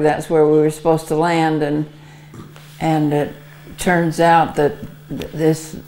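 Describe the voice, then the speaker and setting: With an American accent, a woman speaks at a very deep, low pitch in a monotone, flat intonation. Noticeable background noise can be heard. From Arizona, USA. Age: 80s+. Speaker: WWII Red Cross veteran. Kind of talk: interview answer.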